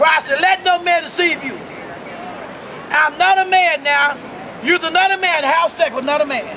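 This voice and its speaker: With crowd noise in the background, a man with an extremely high pitch speaks in a raised, projected voice at a moderate pace, using fairly even intonation and long, frequent pauses. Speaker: street preacher. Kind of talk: street preaching sermon. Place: street. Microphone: phone near.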